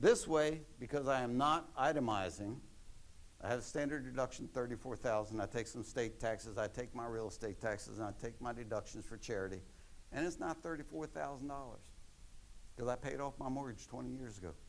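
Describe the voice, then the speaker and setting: In an American accent, a man speaks fairly quickly at a medium pitch, with audible room echo. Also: ordinary pitch variation. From Maryland, US. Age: 70s. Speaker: retired accountant giving a talk. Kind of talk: lecture.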